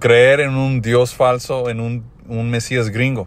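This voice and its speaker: With an English accent, a man speaks at a medium pitch in monotone, flat intonation. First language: English (speaking Spanish). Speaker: religious teacher. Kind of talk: religious teaching. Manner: halting.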